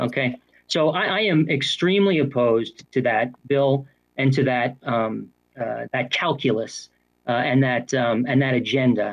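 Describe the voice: The speech moves at a fairly slow pace. Its pitch shifts in an ordinary way. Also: man, medium pitch for a man.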